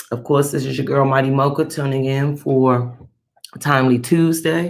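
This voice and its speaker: Her pitch is very deep and low for a woman. She speaks in a monotone, flat intonation. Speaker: spiritual tarot vlogger. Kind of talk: casual vlog monologue.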